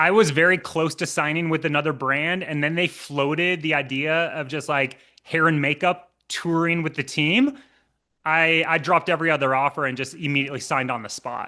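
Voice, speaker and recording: With a Minnesotan accent, a man talks at a fairly quick pace in a fairly high, bright, sharp voice, his intonation fairly even against a quiet background. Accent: Minnesota. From US Midwest, Minnesota. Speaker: professional trail runner. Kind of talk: casual comedic interview.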